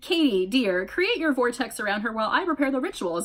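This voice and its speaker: A woman talks in a put-on character voice at a high pitch. Her pace is fairly quick. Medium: read story. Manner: menacing.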